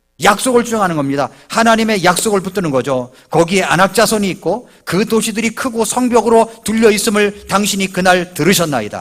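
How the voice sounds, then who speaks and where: A man with a high pitch talks at a moderate pace. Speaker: pastor. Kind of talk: sermon. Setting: church.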